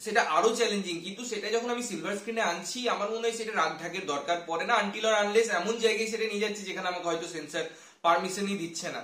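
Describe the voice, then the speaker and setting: The voice carries ordinary pitch variation. Audible room echo surrounds it. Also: man, high pitch for a man. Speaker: film reviewer. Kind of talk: commentary. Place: home room.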